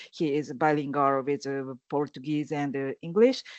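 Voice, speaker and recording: A woman's voice with a Japanese accent. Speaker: activist. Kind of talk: panel discussion. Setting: online event. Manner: halting, many fillers.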